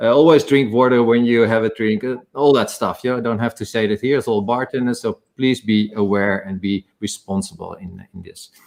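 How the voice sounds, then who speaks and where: A man's medium-pitched voice in a Dutch accent, with ordinary pitch variation, big swings in loudness and hardly any pauses. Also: moderate pace. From Netherlands. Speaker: spirits company executive, ex-bartender. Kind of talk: panel talk in a live online session. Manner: halting, with many fillers and restarts.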